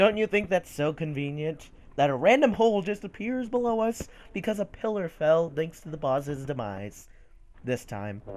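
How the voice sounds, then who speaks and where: A man's high voice with very wide pitch swings, at a moderate pace. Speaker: gaming YouTuber. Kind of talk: casual gameplay commentary. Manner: joking, chatty.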